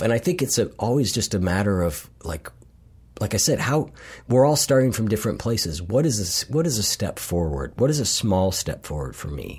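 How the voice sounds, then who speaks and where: Vocal fry runs through a man's American accent as his voice makes very wide pitch swings. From US Midwest, Columbus, Ohio. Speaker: behavior coach and podcast host. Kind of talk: interview conversation.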